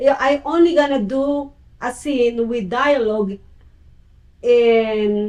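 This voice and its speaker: A woman with a Filipino accent speaks at a high pitch with ordinary pitch variation. Her pace is very slow, with long, frequent pauses. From Philippines. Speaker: talk show host. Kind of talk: interview.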